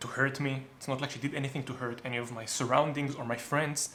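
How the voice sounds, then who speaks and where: The man speaks with an Israeli accent at a fairly high pitch. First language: Hebrew. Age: 30s. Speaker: YouTuber. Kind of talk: casual chat.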